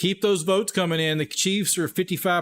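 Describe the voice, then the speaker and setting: On a very clean recording with a silent background, a man speaks with a Texas accent and ordinary pitch variation. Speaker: sports livestream host. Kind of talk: live commentary. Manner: animated.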